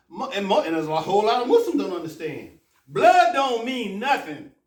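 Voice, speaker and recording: A man with an American accent talks with very wide pitch swings amid audible room echo. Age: 60s. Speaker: imam. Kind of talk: sermon. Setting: mosque. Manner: animated.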